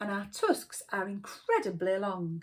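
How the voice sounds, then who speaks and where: In a loud, gruff put-on character voice of medium pitch, a woman speaks at a moderate pace. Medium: read story. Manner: gruff, loud, proud.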